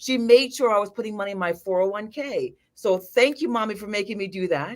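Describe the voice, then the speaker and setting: In a Jamaican accent, a woman speaks at a fairly high pitch. Her tone is animated and her intonation lively. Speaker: financial advisor. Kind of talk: live video chat interview. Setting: livestream.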